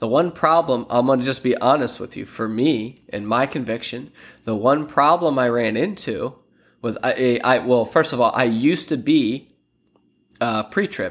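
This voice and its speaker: A man with an unremarkable speaking voice at a medium pitch, ordinary pitch variation and a moderate pace, on a very clean recording with a silent background. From Pennsylvania, Lancaster. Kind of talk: casual devotional monologue.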